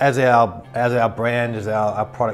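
Faint music plays behind a man speaking at a fairly slow pace. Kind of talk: interview answer. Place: office. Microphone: lapel.

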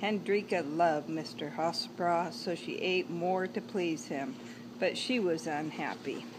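A woman speaks fairly slowly in a warm, gentle, fairly low voice with vocal fry. Noticeable background noise sits under her speech. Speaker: grandmother reading to grandchild. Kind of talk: bedtime story reading aloud to a grandchild, with asides about the pictures. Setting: home video, holding up the book to the camera. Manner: warm, gentle, chatty storyteller pace with playful asides; animated, addresses the child directly. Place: garden. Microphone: phone near.

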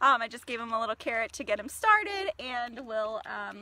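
A raised, projected voice with very wide pitch swings, moderate pace and a dry sound with no echo. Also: woman. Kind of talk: casual livestream talk and education. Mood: cheerful, friendly. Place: forest. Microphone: phone near.

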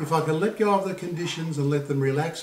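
A man speaks in a calm tone at a moderate pace with ordinary pitch variation. Audible room echo is present. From Australia. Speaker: poet and Buddhist vlogger. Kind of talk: poetry reading, spoken word. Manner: calm, reflective, measured. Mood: calm, reflective. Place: home room. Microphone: camera far.

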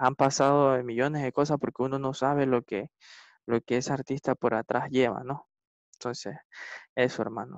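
Over a quiet background, a man talks at a moderate pace with a medium pitch and fairly even intonation, the sound dry with no echo. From Ecuador. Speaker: salsa and reggaeton singer; interviewee. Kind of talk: casual interview; interview answer. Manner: halting, many repetitions and fillers. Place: home room. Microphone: video call.

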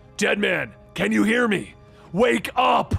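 A put-on character voice from a man, high in pitch, at a fairly slow pace over faint background music. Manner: bellowing, urgent shout.

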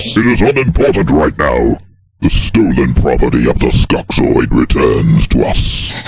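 In a put-on character voice, a man speaks at a moderate pace with a raspy, very deep, low pitch. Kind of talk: parody fandub overdub. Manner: detached, haughty, matter-of-fact.

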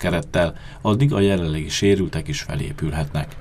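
Noticeable background noise runs under this clip. A man speaks with ordinary pitch variation. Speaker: local TV sports reporter. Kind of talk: news reading.

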